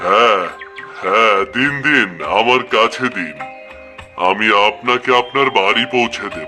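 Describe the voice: In a cartoonish character voice, a man talks at a fairly slow pace and medium pitch while music plays clearly in the background.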